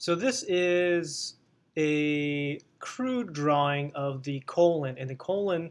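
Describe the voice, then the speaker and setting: The voice is a man's. Its pitch shows ordinary variation. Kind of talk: lecture. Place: home room. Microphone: webcam.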